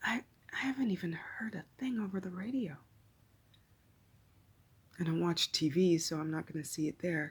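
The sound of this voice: The voice has a husky, rough edge and fairly even intonation. Long pauses come often. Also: moderate pace.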